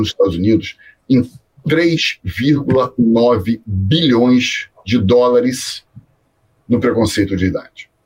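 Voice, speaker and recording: A man speaks very slowly at a medium pitch, his voice somewhat breathy and his intonation lively. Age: 50s. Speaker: career mentor. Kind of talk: interview. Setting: video call.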